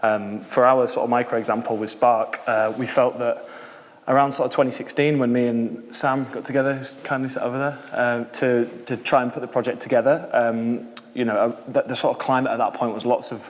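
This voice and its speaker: A man with a Yorkshire accent at a fairly quick pace, monotone and flat in intonation, with noticeable background noise. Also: medium pitch for a man. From York, northern England. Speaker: social enterprise founder. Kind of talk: panel discussion.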